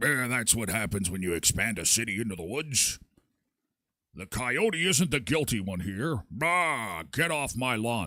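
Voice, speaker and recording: On a very clean recording with a silent background, a man does a put-on character voice at a medium pitch and a moderate pace. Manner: grumpy, cranky.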